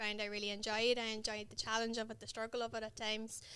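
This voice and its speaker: A woman with a Northern Irish accent has a fairly high, bright, sharp voice. Her intonation is flat and monotone. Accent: south Armagh Northern Irish. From Northern Ireland, County Armagh. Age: 30s. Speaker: dentist and mountaineer. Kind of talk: podcast interview.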